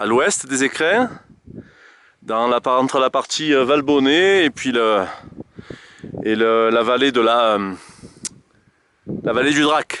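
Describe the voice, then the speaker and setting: A man with a medium-pitched voice speaks at a very slow pace, leaving long, frequent pauses, with ordinary pitch variation. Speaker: hiker filming a summit panorama. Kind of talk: casual on-the-spot narration. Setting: outdoors on a mountain summit. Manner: loud; halting, many fillers.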